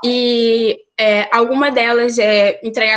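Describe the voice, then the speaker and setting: A woman does the talking. She has a fairly high pitch. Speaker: accountant. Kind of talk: presentation. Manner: fast; hesitant, many fillers.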